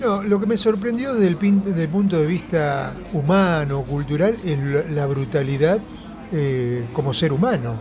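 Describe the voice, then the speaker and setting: Fairly high-pitched male voice in a Rioplatense accent, lively in intonation and fairly slow, with audible room echo and noticeable background noise. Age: 70s. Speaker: left-wing politician. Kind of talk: political interview. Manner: animated.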